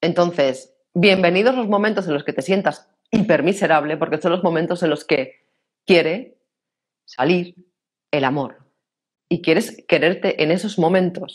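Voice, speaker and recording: The speaker has a Castilian accent. The pace is fairly slow, with long, frequent pauses. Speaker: personal development speaker. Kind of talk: interview.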